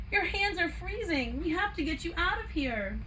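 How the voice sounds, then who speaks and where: A woman's put-on character voice, squeaky and extremely high, at a moderate pace over clear background noise. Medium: read story.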